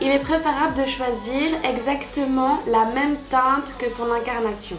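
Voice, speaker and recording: The voice shows ordinary pitch variation. Music plays in the background. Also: woman. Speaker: beauty youtuber. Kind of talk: makeup tutorial.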